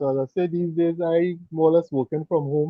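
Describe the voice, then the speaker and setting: With a Trinidadian accent, a man speaks at a fairly high pitch and keeps his intonation fairly even. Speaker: cooking YouTuber and mechanic. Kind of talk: casual chat.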